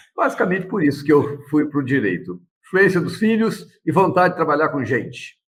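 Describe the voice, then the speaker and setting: The speaker's intonation is lively, with vocal fry. The pace is moderate. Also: man, fairly high pitch for a man. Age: 60s. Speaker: lawyer and council candidate. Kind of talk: interview. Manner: casual, with frequent fillers.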